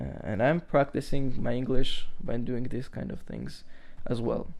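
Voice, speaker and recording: A man with a non-native accent speaks at a fairly slow pace. His loudness swings a lot. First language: not English. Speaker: podcast host. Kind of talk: casual monologue podcast. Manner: halting, many fillers.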